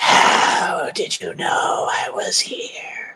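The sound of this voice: A whispered, put-on character voice.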